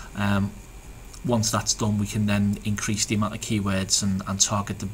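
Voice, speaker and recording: A man with a Liverpool accent at a fairly low pitch, monotone, flat intonation, and a moderate pace. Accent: Liverpool (Scouse). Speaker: SEO business owner. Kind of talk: tutorial. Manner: halting, many fillers and repeats.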